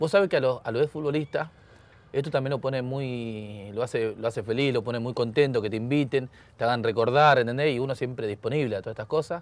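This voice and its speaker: Very fast speech from a man at medium pitch, with ordinary pitch variation and a dry sound with no echo. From Argentina (Buenos Aires area). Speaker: former footballer; guest. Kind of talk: casual chat; interview answer. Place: garden. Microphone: lapel.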